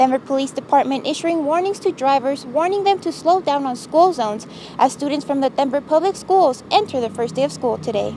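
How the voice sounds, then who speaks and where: Against noticeable background noise, a woman speaks at a moderate pace in a high pitch with lively intonation. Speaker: TV news reporter and anchor. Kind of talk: TV news read.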